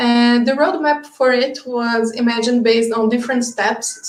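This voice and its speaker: A woman's high-pitched, monotone, flat delivery at a moderate pace, in a Brazilian Portuguese accent, over noticeable background noise. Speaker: project lead presenting at a webinar. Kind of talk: webinar presentation. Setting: online webinar.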